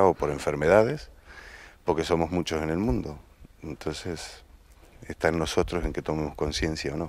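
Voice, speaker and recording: The speaker is a man with an Argentine accent. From Argentina. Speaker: actor. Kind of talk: interview. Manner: halting, with repetitions.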